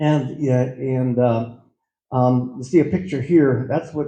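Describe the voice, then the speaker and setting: A somewhat breathy male voice of medium pitch and dark, mellow tone, with an American accent, fairly even intonation and a fairly slow pace. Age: 60s. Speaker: farmer. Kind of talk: presentation. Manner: halting.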